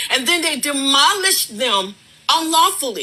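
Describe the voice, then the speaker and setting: A woman speaks in a raised, projected voice at a moderate pace with very wide pitch swings over noticeable background noise. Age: 70s. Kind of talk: heated debate.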